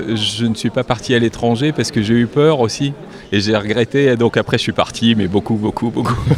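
A man's medium-pitched voice at a moderate pace, with fairly even intonation, very even loudness and noticeable background noise. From Paris suburbs. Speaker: former radio journalist, event host. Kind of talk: interview. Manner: hesitant.

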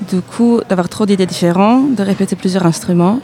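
A woman's voice, pitched in the middle of her range and with fairly flat intonation, comes through noticeable background noise. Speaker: musician in a duo. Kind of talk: radio interview.

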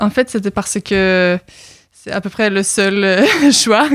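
This is a woman speaking. She has a Norwegian accent. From Norway. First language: Norwegian (speaking French). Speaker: exchange student. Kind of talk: radio interview. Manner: halting.

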